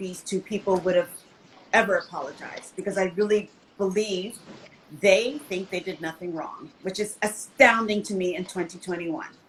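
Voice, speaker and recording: A woman speaks at a medium pitch. Noticeable background noise is audible. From United States. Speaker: screenwriter and interior designer. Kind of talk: panel discussion.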